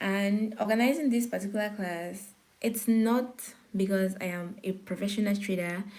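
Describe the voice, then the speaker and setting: Audible room echo surrounds a woman's somewhat breathy, medium-pitched voice. She speaks at a moderate pace with fairly even intonation. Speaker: forex trading teacher. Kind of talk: live-streamed beginner class. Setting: YouTube live stream. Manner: pauses to catch breath.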